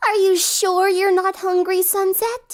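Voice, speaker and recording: An extremely high, put-on character voice moves at a fairly slow pace. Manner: mocking.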